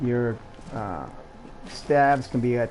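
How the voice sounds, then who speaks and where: A man speaks with music playing in the background. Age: 60s. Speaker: video game streamer. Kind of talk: casual gameplay commentary. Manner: halting.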